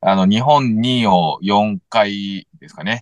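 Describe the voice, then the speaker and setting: A man's voice comes through with a dry, close sound and no echo. The background is quiet. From Tokyo, Japan. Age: 30s. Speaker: mental coach and former soccer player. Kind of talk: interview-style podcast chat. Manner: halting, many fillers.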